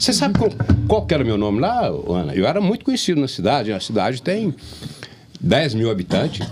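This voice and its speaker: A man with a medium-pitched voice talks at a fairly quick pace, his pitch swinging very widely while his loudness stays very even over noticeable background noise. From Brazil, Jiquiriçá area, Bahia countryside. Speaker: podcast host. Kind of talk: casual chat.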